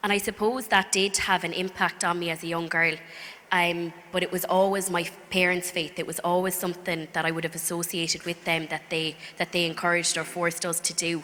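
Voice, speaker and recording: Over noticeable background noise, a woman speaks in a County Clare accent at a fairly quick pace. Her pitch is fairly low and her intonation monotone and flat. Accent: Irish, County Clare. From Ireland, County Clare. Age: 20s. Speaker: speaker giving faith testimony. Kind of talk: testimony. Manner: hesitant, many fillers.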